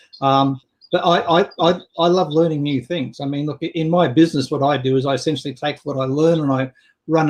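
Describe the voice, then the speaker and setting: A man's fairly high voice with an Australian accent, fairly even intonation, and a moderate pace. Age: 60s. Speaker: business coach. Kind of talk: casual chat.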